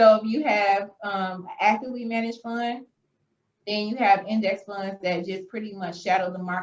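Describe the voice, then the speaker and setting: A woman with an American accent and monotone, flat intonation. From Michigan, US. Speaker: accountant and personal finance educator. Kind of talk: podcast interview. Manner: fast.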